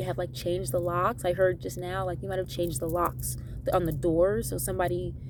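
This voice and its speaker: A woman talks at a fairly quick pace, with audible room echo around her voice. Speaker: tarot reader. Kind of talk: tarot reading monologue. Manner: fast; casual, chatty.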